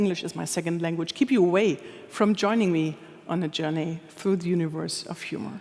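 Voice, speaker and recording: Noticeable background noise behind a woman talking at a fairly quick pace. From Germany, Anhalt-Bitterfeld. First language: German. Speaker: humor expert, speaker. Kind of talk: conference talk. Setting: stage with audience.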